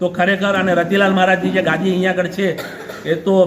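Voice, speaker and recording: A man talks at a high pitch. Audible room echo and noticeable background noise are present. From Mumbai, India. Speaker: son-in-law visiting wife's hometown. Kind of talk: on-camera interview.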